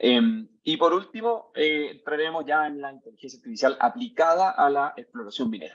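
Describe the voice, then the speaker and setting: A man speaks at a fairly quick pace. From Chile. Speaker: tech company CEO, mining engineer. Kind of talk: lecture. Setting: video call. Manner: hesitant, many fillers.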